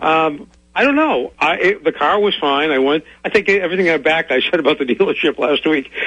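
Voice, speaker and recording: A plain, everyday voice from a man, fairly high in pitch, fairly quick, with ordinary pitch variation and very even loudness. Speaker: caller. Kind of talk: radio call-in question. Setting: phone call.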